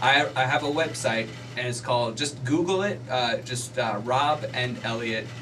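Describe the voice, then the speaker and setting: A man speaks at a moderate pace with ordinary pitch variation. Audible room echo and noticeable background noise surround him. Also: medium pitch for a man. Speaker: stand-up comedian. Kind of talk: casual radio interview. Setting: radio studio. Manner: loud; animated.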